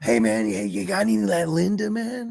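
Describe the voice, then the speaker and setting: Putting on a character voice, a man talks fairly quickly at a fairly high pitch, his pitch swinging very widely. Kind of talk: slangy, casual. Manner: stilted, trying too hard to fit in.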